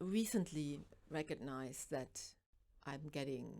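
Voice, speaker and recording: A woman talks with a German accent and lively intonation. Her tone is dark and mellow. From East Germany. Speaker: author and makeup artist. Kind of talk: interview. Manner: halting.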